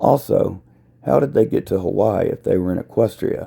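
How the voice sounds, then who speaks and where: A put-on character voice from a man, raspy and at a moderate pace. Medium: read story. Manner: angry.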